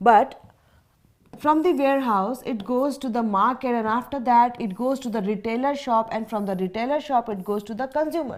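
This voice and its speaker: In a very clean recording with a silent background, a woman with an Indian accent speaks at a high pitch with ordinary pitch variation. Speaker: teacher. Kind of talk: lecture. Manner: slow; repetitive, deliberate.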